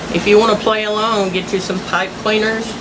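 A woman talks over noticeable background noise. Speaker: home crafter. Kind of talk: casual DIY tutorial to camera. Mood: relaxed, folksy. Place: workshop. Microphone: phone near.

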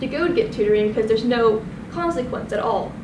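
Someone speaks at a fairly quick pace over noticeable background noise. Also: woman. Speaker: presenter. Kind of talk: class presentation. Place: classroom. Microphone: camera far.

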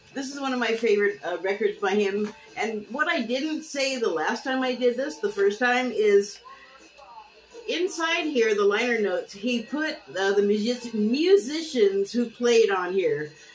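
Music plays in the background as a woman speaks at a fairly slow pace with very wide pitch swings. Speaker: TV critic vlogger. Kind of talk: casual vlog chat. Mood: cheerful, nostalgic. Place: home room. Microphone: webcam.

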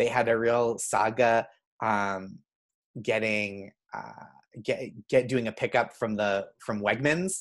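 At a very slow pace, a man talks with an American accent and ordinary pitch variation against a quiet background. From Boston area, US. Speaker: comedian and writer; podcast guest. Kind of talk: casual chat. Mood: friendly, amused. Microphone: video call.

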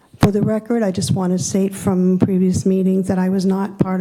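A woman at medium pitch talks at a moderate speed, with noticeable background noise behind her. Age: 70s. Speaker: public commenter at town meeting. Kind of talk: public comment. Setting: town hall hearing room. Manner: formal.

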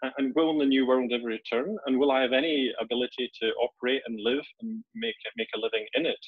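Someone with a Scottish accent talks at a fairly quick pace with lively intonation. The sound is dry with no echo against a quiet background. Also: man, medium pitch for a man, hardly any pauses. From Scotland, Edinburgh; Scotland. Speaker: executive coach. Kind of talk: webinar presentation. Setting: video call. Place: home room. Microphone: webcam.

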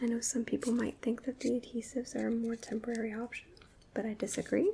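The speaker is soft-spoken, with light background noise behind the voice. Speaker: beauty content creator. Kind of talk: casual tutorial chat. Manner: soft-spoken, hushed ASMR voice.

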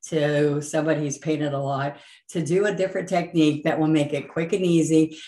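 A woman speaks at a fairly quick pace in a very deep, low, dark and mellow voice with fairly even intonation. Audible room echo surrounds her. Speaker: painting instructor. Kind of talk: channel intro talk to viewers. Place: home room.

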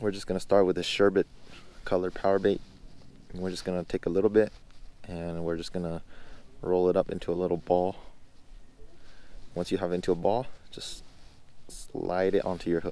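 At a fairly quick pace, a man speaks in a very deep, low pitch with a dark, mellow tone and flat, monotone intonation, in a dry sound with no echo. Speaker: angler vlogger. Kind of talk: tutorial. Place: waterside. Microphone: phone near.

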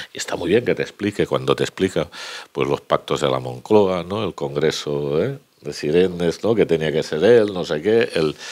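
This man has a very deep, low pitch. He talks at a fairly slow pace. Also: quiet background. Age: 50s. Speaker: trade union official; speaker. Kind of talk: panel remarks at book presentation. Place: hall. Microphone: handheld.

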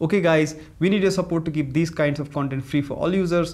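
Over music in the background, a man speaks at a very fast pace. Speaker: presenter. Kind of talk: tutorial. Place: studio.

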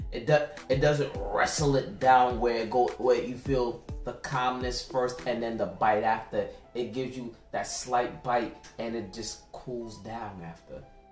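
A man talks at a fairly slow pace with ordinary pitch variation and big swings in loudness. Audible room echo and faint music sit in the background. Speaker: tasting show co-host. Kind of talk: casual review chat. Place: kitchen.

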